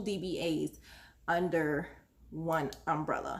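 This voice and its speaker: A woman with fairly level intonation is heard with audible echo from the room. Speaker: small business owner giving how-to advice. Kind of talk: casual tutorial vlog. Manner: rambling, many fillers (um, uh).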